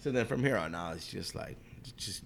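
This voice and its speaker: Audible room echo surrounds fairly quick speech with lively intonation. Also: man. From Guam. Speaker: chef. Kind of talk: interview. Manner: halting.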